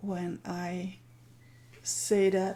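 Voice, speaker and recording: With a dark, mellow tone, the speaker moves at a very slow pace with ordinary pitch variation. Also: woman. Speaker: art journaling teacher hosting a weekly challenge. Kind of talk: livestream chat. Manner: loud.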